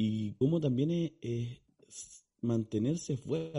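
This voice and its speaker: A somewhat breathy man's voice, dark and mellow in tone, with a Chilean accent. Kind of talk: casual chat.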